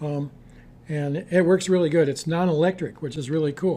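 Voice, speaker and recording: His tone dark and mellow, a man speaks at a fairly high pitch and a moderate pace with ordinary pitch variation. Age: 70s. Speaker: herbalist. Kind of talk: interview. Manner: halting.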